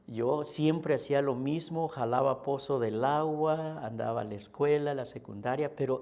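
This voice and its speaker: Medium in pitch with a dark, mellow tone, a man speaks at a fairly slow pace with ordinary pitch variation. Audible room echo surrounds his voice. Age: 60s. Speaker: pastor. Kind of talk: sermon.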